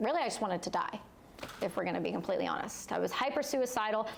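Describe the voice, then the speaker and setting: With noticeable background noise and audible room echo, a woman speaks in a Canadian accent at a fairly high pitch. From Canada, Ontario. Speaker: war veteran and entrepreneur. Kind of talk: personal testimony in live interview.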